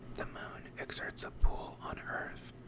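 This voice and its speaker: The speaker is whispering. Noticeable background noise is present. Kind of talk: ASMR reading of facts. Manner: whispered.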